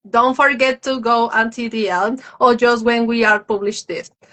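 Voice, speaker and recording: Fairly slow speech with a Spanish accent. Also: woman. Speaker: live stream host. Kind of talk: interview on live stream. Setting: social media live video.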